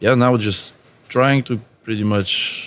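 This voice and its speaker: A man with a Lithuanian accent at a very slow pace. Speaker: tattoo artist. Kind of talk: casual interview chat. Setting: tattoo convention.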